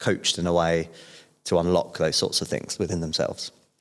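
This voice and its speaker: A very clean recording with a silent background, at a moderate pace. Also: man. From southern England, Portsmouth. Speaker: podcast guest, businessman. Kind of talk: casual interview chat.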